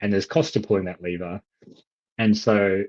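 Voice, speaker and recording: A man's very fast, fairly low voice in an Australian accent, with fairly even intonation and a dry, close sound with no echo. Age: 30s. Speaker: economist. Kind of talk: casual discussion.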